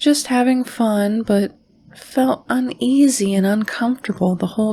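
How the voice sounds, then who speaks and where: Over noticeable background noise, a woman talks in a fairly high voice. Her pitch varies in an ordinary way. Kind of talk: horror podcast narration reading listener stories. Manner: soft-spoken.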